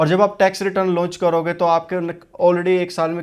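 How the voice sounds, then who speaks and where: In a very clean recording with a silent background, a man with a Haryanvi accent speaks at a moderate pace in a high pitch. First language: Haryanvi (speaking Hindi). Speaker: vlogger. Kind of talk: informational vlog. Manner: halting, many fillers.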